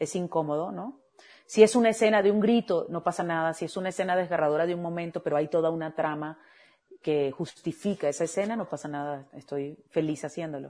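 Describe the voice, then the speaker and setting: A woman's dark, mellow tone at a fairly quick pace, with ordinary pitch variation. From Venezuela. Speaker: voice actress. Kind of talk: casual interview.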